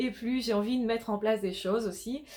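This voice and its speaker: A woman speaks at a fairly high pitch. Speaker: life coach / YouTuber. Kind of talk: vlog monologue. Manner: energetic, stumbling at times.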